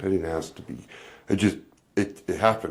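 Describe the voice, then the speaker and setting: Speaking at a fairly quick pace, a man uses a very deep, low pitch. His pitch variation is ordinary. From Canada. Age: 40s. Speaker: podcast host. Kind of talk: casual chat.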